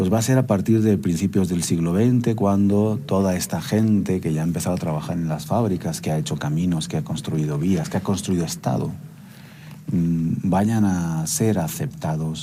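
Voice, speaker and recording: A man with a very deep, low voice speaks at a moderate pace with lively intonation, backed by music and an audible room echo. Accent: Spanish. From Spain, Barcelona (Catalonia). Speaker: lecturer. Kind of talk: lecture. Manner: halting, many fillers.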